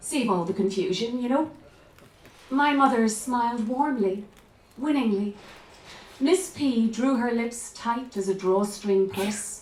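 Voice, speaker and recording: In an Irish accent, a woman speaks at a fairly slow pace with lively intonation and long, frequent pauses, with audible room echo. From Ireland, County Clare. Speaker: author and actress. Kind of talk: reading aloud.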